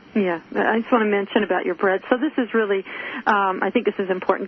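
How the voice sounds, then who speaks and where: A woman at a medium pitch talks fairly quickly with fairly even intonation, noticeable noise behind her. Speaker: radio show host. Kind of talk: radio interview.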